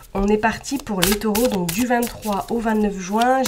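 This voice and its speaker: Noticeable background noise runs through the clip. This woman's voice is fairly high. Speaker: tarot card reader. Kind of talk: tarot reading.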